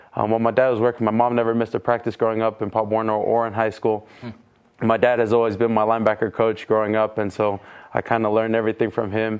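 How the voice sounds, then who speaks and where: This man's speech races along at a very fast pace. Flat, monotone intonation runs throughout. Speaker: college football player. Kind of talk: casual interview. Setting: studio with live audience.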